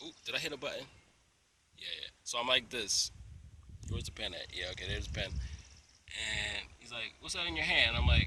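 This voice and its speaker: A man is speaking. His pace is moderate. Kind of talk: casual talk to camera. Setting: outdoors.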